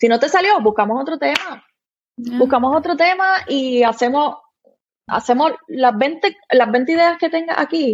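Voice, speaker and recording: A woman at high pitch, lively intonation and a fairly slow pace. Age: 30s. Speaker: content creator and mom blogger. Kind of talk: casual interview chat.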